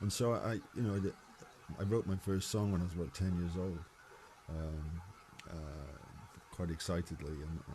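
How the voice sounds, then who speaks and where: Somewhat breathy and dark, mellow in tone, a man with a very deep, low pitch speaks at a moderate pace with ordinary pitch variation and long, frequent pauses. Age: 60s. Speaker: singer-songwriter. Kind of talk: interview conversation. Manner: halting, many repetitions.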